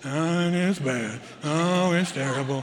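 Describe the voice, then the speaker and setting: A man uses a put-on character voice pitched fairly high, speaking at a fairly slow pace. Background noise is clearly audible. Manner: gloomy, droopy.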